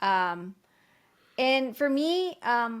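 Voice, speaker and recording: A woman in a very clean recording with a silent background. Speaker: ring announcer. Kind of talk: interview answer. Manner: energetic, enthusiastic.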